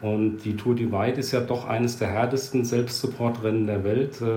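Noticeable background noise runs under speech with fairly even intonation. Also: man. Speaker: podcast co-host. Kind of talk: casual chat. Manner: hesitant, many fillers.

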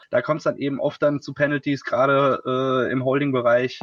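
A man talks in a normal speaking voice at a moderate pace with a fairly high pitch. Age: 20s. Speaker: football writer and podcast co-host. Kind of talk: casual sports talk.

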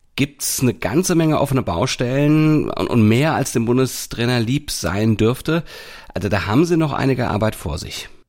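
An ordinary speaking voice from a man, medium in pitch, at a moderate pace with lively intonation, on a very clean recording with a silent background. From Hamburg, northern Germany. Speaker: sports podcast host. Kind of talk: casual chat.

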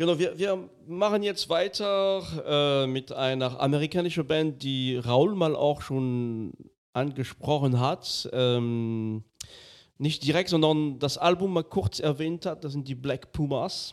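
This man, fairly high in pitch, speaks at a very slow pace on a very clean recording with a silent background. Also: ordinary pitch variation. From France. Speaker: podcast host. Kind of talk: casual chat.

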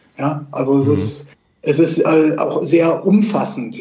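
A man with a fairly high pitch talks with fairly even intonation over noticeable background noise. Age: 50s. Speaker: financial advisor. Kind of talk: interview. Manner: hesitant, many fillers.

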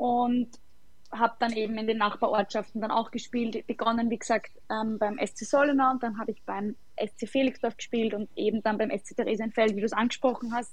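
Fairly high in pitch and somewhat breathy, a woman's voice moves at a fairly quick pace with monotone, flat intonation. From Austria, Lower Austria. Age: 20s. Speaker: footballer. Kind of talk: casual chat.

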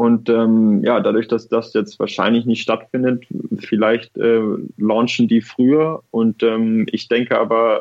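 An ordinary speaking voice from a man, medium in pitch, with fairly even intonation. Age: 20s. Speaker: professional tennis player. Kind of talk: interview.

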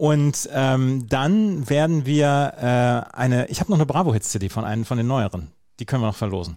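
With a dark, mellow tone and lively intonation, a man speaks at a medium pitch and a moderate pace. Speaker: podcast co-host and sports commentator. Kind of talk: casual chat.

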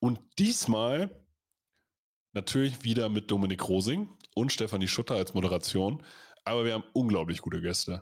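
A man at a medium pitch, with ordinary pitch variation and long, frequent pauses, in a very clean recording with a silent background. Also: moderate pace. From Lower Saxony, Germany. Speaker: American football podcast host. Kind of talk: casual chat. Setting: livestream.

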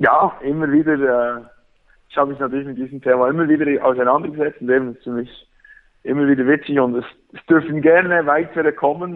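Using a Bernese accent, a man with a fairly high pitch talks at a fairly quick pace and with fairly even intonation. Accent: Swiss German (Bernese). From Switzerland, Bern. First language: Swiss German (Bernese dialect) (speaking German). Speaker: football fan, fan social worker. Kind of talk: casual chat.

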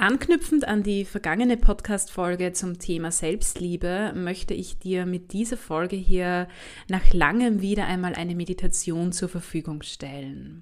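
A plain, everyday voice speaks with ordinary pitch variation and big swings in loudness. The recording is very clean, with a silent background. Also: woman, medium pitch for a woman. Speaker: health scientist, university lecturer, podcast host. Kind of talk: guided meditation. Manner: slow, calm, soothing; soft-spoken, gentle.

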